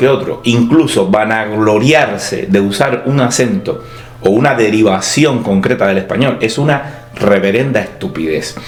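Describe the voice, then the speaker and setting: There is music in the background and audible room echo as a man talks at a fairly slow pace. His intonation is lively. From Cuba. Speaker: writer and university teacher. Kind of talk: scripted opinion monologue. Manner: clear, broad vocalization.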